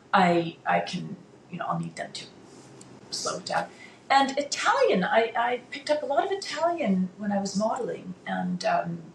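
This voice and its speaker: At a moderate pace, a woman talks with big swings in loudness. Noticeable background noise runs underneath. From international upbringing, Dutch family (Netherlands, Brazil, Switzerland). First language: Dutch. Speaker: former international model and artist. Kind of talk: interview conversation. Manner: hesitant, many fillers and repetitions.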